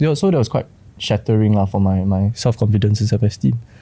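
A man's fairly low, dark, mellow voice with a Singaporean accent and ordinary pitch variation. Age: 20s. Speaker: creative industry worker. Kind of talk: casual chat.

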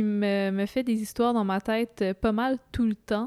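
On a very clean recording with a silent background, a woman with a Quebec accent speaks at a very slow pace with a fairly high pitch and fairly even intonation. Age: young. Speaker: student. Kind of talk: casual chat.

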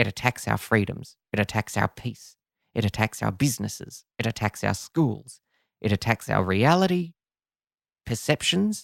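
A man's nasal, put-on character voice at medium pitch, with lively intonation and a moderate pace, dry and close with no echo in a very clean recording with a silent background. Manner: angry, ranting.

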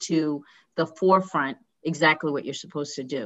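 Speaking with an American accent, a woman has an ordinary speaking voice, fairly low in pitch, with ordinary pitch variation and a moderate pace. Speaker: podcast host and dentist. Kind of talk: interview.

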